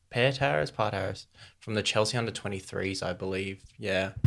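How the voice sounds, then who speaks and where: The recording is very clean with a silent background. A man speaks in an Australian accent. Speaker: podcast host. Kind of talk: casual banter.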